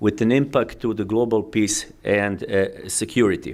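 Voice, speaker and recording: A man with a Croatian accent at a moderate pace, on a very clean recording with a silent background. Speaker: diplomat. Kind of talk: keynote speech. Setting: conference with audience. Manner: halting, many fillers.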